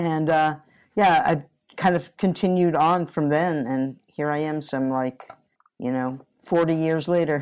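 This woman has a very deep, low pitch and fairly even intonation, speaking at a fairly slow pace. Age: 60s. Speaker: guitarist and vocalist. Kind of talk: casual interview.

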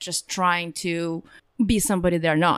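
A woman with a Russian accent and fairly low pitch, on a very clean recording with a silent background. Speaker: online store entrepreneur. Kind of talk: interview. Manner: laughs often.

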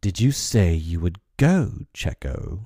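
On a very clean recording with a silent background, a man puts on a character voice with a dark, mellow tone, low pitch and big pitch swings, speaking at a slow pace.

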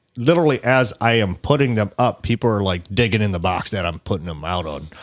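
A man with an American accent speaks in an animated tone at medium pitch, with very wide pitch swings and a fairly quick pace. The recording is very clean, with a silent background. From California. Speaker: sporting goods store fishing department head. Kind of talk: casual chat. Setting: studio.

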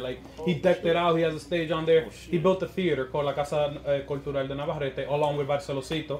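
A man talks at a very fast pace in a fairly high pitch, keeping his intonation fairly even despite noticeable background noise. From Queens, New York, Dominican family. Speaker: Instagram comedian. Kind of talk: casual chat, podcast interview.

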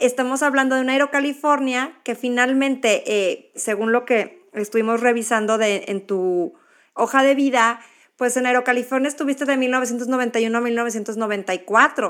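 A woman's high-pitched voice, fairly slow and with fairly even intonation. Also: very clean recording, silent background. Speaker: podcast host. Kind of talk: casual interview.

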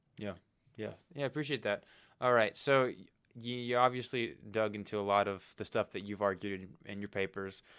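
In a normal speaking voice, a man talks at a fairly quick pace. His pitch is fairly low and his intonation fairly even. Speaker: podcast host. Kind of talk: interview. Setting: remote call.

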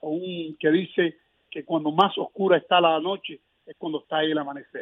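A man is talking. His pace is fairly quick. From Cuba, Placetas. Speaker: political activist and former political prisoner. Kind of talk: interview. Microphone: connection dropped, hard to hear.

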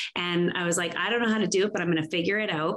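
A woman talks over noticeable background noise. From Saskatchewan, Canada (farm). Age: 50s. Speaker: inspirational speaker and women's coach. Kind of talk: interview conversation. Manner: animated.

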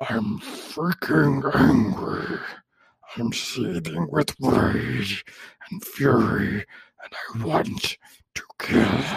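A raspy, put-on character voice moves at a very slow pace. Long, frequent pauses break up the speech. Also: man, fairly low pitch for a man. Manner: seething, angry.

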